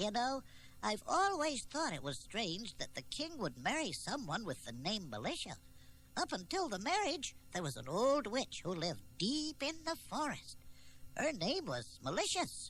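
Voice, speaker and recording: A put-on character voice moves at a moderate pace, with background noise clearly heard. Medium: audio drama.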